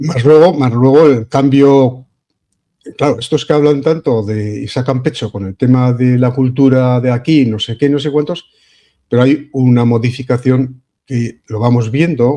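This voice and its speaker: At a fairly slow pace, a man speaks in a dark, mellow tone at a medium pitch. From Spain, Vitoria (Basque Country). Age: 70s. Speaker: online radio/video show host. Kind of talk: casual political discussion. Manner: hesitant, with fillers.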